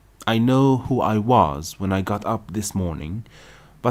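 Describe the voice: The voice reads aloud. The delivery is plain.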